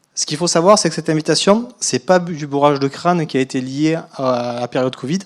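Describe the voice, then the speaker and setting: This speaker has a slight southern French accent, talks at a fairly quick pace and uses ordinary pitch variation. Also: man, fairly high pitch for a man. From southern France. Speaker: biostatistician. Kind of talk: conference talk. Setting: lecture hall.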